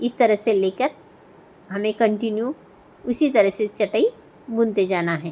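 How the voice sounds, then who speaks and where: Here a woman speaks at a fairly high pitch. Her pitch variation is ordinary. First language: Marathi (speaking Hindi). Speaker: craft tutorial creator. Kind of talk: tutorial.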